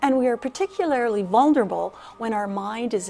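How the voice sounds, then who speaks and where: A woman talks at a moderate pace. Faint music sits in the background. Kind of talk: interview answer. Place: hall.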